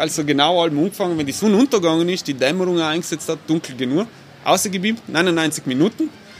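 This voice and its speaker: A man talks at a fairly high pitch with ordinary pitch variation. Noticeable background noise runs behind him. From South Tyrol, Italy (Bolzano). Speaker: architect and urban planner. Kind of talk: casual interview.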